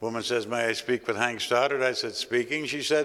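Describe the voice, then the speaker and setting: On a very clean recording with a silent background, the voice has a bright, sharp tone and ordinary pitch variation. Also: man. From Canada. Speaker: retired TV sports anchor. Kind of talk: award acceptance speech. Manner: conversational, occasional hesitations.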